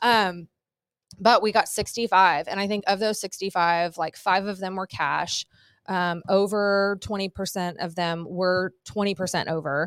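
A woman's normal speaking voice with an American accent, medium pitch and fairly even intonation, at a fairly slow pace, dry and close with no echo. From Southern California. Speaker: real estate agent and broker. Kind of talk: casual interview.

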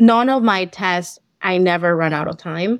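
A woman speaks at a fairly slow pace with a Spanish accent and a medium pitch. The recording is very clean, with a silent background. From Colombia. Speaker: accountant, CPA exam passer. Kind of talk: interview. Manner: hesitant, many fillers.

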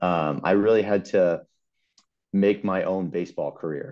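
A man with a New York accent, very deep and low in pitch, fairly even in intonation, at a moderate pace against a quiet background. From Long Island, New York. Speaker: insurance agent, former baseball pitcher. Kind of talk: casual chat.

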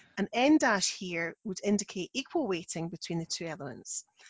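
This woman speaks in a Scottish accent at a moderate pace. Her pitch sits in the medium range. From Scotland. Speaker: non-fiction editor, podcast co-host. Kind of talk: casual educational chat.

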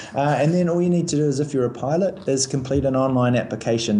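Talking at a very fast pace, a man uses ordinary pitch variation in a New Zealand accent. Noticeable background noise runs behind him. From New Zealand, Christchurch. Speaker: airline recruiting manager. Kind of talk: interview. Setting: phone call.

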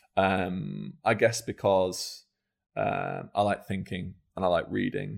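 In a very clean recording with a silent background, a man speaks at a very slow pace. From northern England, Scunthorpe (Lincolnshire). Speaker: startup founder. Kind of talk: interview.

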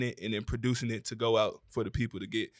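A man with a Southern US accent talks at a very fast pace in a medium pitch. The recording is very clean, with a silent background. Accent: US South. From Atlanta, Georgia. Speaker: content creator. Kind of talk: panel discussion.

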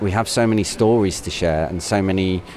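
Over noticeable background noise, a man with a West Midlands accent talks at a fairly slow pace, his very deep, low voice keeping a fairly even intonation. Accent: Coventry English. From Coventry, England (Canley). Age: 40s. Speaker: primary school teacher. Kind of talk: personal reflection. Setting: shopping centre. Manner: conversational.

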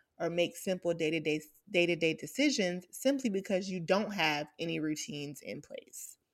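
An unremarkable speaking voice from a woman with an American accent, medium in pitch, with lively intonation and a moderate pace. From US South, Atlanta. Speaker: podcast host. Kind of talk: casual chat. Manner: upbeat.

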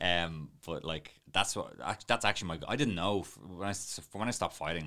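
A man talks at a fairly quick pace in a bright, sharp tone. Vocal fry runs through his voice. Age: 30s. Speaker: videographer and coffee trainer. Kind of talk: casual interview chat.

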